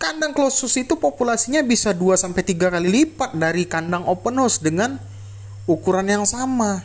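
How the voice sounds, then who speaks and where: A man talks at a moderate pace. His high-pitched voice has lively intonation. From Indonesia. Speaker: poultry farmer and vlogger; vlogger. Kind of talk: tutorial. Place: farm machine. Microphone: phone near.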